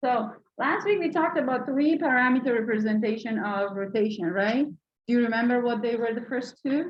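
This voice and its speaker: A loud, high-pitched woman's voice at a fairly quick pace, with ordinary pitch variation and hardly any pauses. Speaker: university lecturer. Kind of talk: lecture. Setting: classroom with mic.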